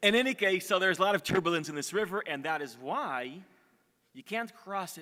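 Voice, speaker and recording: A man with an American accent speaks in a raised, projected voice at a high pitch and fairly quick pace. His tone is bright and sharp, with lively intonation and big swings in loudness. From Israel. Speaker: storyteller giving a talk to an audience. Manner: hesitant, searches for words at times.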